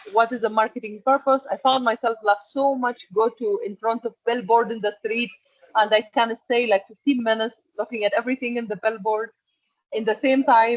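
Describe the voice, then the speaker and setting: A woman with an Arabic accent speaks at a fairly high pitch in monotone, flat intonation, with big swings in loudness. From Egypt. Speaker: export and packaging manager. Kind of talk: interview. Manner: halting.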